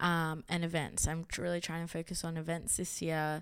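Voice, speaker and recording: Moderate pace and monotone, flat intonation in an Australian accent, on a very clean recording with a silent background. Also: woman. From Sydney, Upper North Shore. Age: 20s. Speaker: creative and platform founder. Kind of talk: casual chat.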